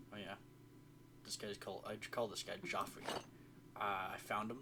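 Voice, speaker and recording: A soft-spoken man talks at a moderate pace. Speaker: gaming video creator. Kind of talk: casual gameplay commentary. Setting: home recording at night. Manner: quiet, soft-spoken; halting, rambling with fillers.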